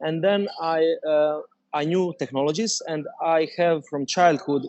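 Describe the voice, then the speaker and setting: A man with a Croatian accent, speaking at a fairly slow pace. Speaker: dentist and startup founder. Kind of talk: interview. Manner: halting, many fillers.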